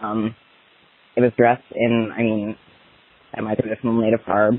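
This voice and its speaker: A man talks at a moderate pace in a medium-pitched voice. His intonation is monotone and flat, with noticeable background noise. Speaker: voicemail caller. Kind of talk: personal story. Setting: phone call while walking outdoors.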